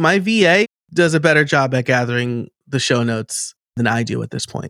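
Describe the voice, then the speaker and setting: Here a man with an American accent speaks at a moderate pace with lively intonation. The sound is dry and close with no echo, in a very clean recording with a silent background. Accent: New York, kept on a low burn. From New York state. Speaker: podcast and automation coach. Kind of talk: casual interview chat.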